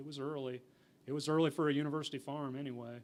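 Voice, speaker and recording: A man is speaking. His pitch is fairly high. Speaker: university entomologist. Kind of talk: conference talk Q&A. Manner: mumbling.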